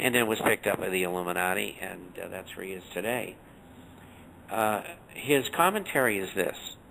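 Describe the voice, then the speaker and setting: A bright, sharp tone with ordinary pitch variation, big swings in loudness, and long, frequent pauses. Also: man, fairly low pitch for a man. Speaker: financial newsletter writer, radio guest. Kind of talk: radio interview. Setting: radio show.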